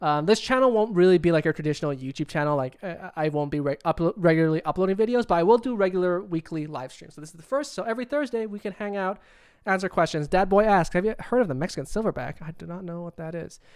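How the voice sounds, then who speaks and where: Over a silent background on a very clean recording, the words race by at a very fast pace. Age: 20s. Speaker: YouTuber and filmmaker. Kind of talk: livestream Q&A chat. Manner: jumps topic to topic, halting restarts.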